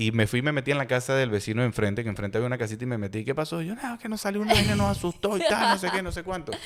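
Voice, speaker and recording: In an animated tone, a man races at a very fast pace, his medium pitch making very wide swings over noticeable background noise. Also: hardly any pauses. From Venezuela, Táchira state. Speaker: podcast host. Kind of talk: casual chat, storytelling.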